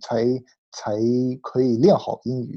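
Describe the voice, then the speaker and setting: In an American accent, the speaker uses a dark, mellow tone at a fairly slow pace against a quiet background. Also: man. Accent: American-accented Mandarin. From United States. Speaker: podcast host. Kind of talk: interview.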